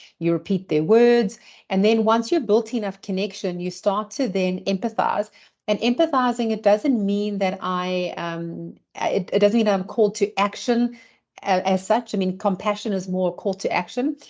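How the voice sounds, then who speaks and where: Behind her there is a quiet background. The woman's voice sits at a medium pitch. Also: ordinary pitch variation. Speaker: leadership trainer and consultant. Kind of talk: webinar presentation. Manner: fast.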